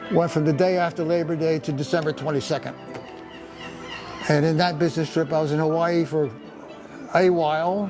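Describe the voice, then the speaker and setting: Moderate-paced speech from a man with a New Jersey accent and a fairly high pitch, music in the background. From Paterson, New Jersey. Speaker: retired engineer. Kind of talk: interview answer, life story. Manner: hesitant, many fillers.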